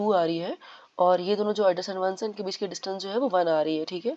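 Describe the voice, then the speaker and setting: At a very fast pace, a woman with a medium-pitched, dark, mellow voice speaks with fairly even intonation. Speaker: coding tutor. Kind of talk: coding tutorial explanation.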